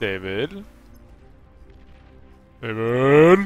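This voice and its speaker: A man performs a put-on character voice at medium pitch. Faint music plays in the background. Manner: stern, scolding.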